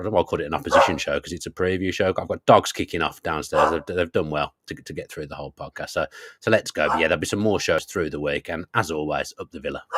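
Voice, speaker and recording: A man races along at a very fast pace with hardly any pauses and big swings in loudness. The sound is dry and close, with no echo. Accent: English. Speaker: football podcast host. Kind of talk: casual chat.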